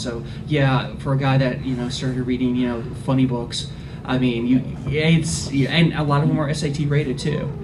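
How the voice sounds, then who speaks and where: This man's intonation is fairly even, and he speaks at a fairly quick pace. Audible room echo and noticeable background noise surround his voice. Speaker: librarian on a convention panel. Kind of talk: panel discussion.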